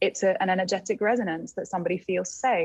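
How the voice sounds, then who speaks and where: A woman with an English accent speaks at a very fast pace in a somewhat breathy voice. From England. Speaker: plant medicine guide. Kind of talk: casual chat.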